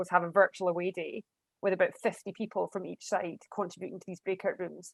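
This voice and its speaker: A woman's medium-pitched voice at a very fast pace, with a dry, close sound and no echo. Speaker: university international partnerships lead. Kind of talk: panel discussion.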